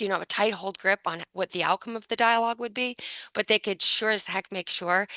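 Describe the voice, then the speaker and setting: Bright and sharp, a woman's medium-pitched voice moves at a fairly quick pace with fairly even intonation. The recording is dry and close with no echo, and the background is quiet. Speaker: book author presenting research. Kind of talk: academic presentation. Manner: fast.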